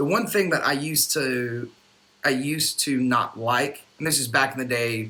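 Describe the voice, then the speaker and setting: In an American accent, a man speaks at a medium pitch with ordinary pitch variation, with noticeable background noise behind him. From North Carolina. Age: 30s. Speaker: musician. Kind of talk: casual chat.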